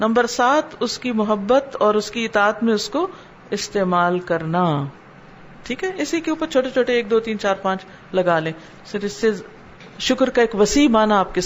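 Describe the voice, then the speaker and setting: A woman's fairly high voice with lively intonation over noticeable background noise. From Pakistan. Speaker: Islamic scholar and preacher. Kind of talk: religious lecture (dars) in Urdu.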